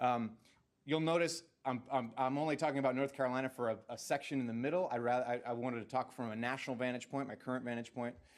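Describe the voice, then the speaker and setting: A man with a northeastern US accent at a very fast pace, medium in pitch with ordinary pitch variation. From New Jersey. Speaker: education policy scholar. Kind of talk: presentation to a board. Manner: halting, many fillers and repeats.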